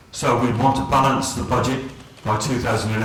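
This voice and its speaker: In a West Country accent, a man speaks at a moderate pace, with noticeable background noise and audible room echo. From England, Gloucester. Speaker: political candidate. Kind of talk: election hustings speech. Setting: public hustings with audience.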